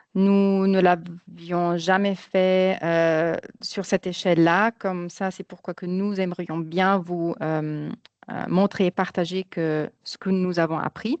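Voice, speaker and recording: Very slowly and in a monotone, flat intonation, a woman with a non-native accent speaks at medium pitch. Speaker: marketing project manager. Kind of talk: webinar presentation. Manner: halting, many hesitations.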